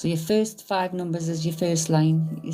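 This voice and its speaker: Music plays in the background as a woman speaks with a very deep, low pitch. She keeps a fairly slow pace and fairly even intonation. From northern England, County Durham (Stanley). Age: 50s. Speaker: psychic medium, live streamer. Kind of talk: casual live stream chat. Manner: informal, uses local slang.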